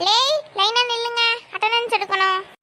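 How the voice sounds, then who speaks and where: A woman's squeaky, cartoonish character voice, extremely high in pitch, with fairly even intonation at a moderate pace. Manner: commanding, brisk.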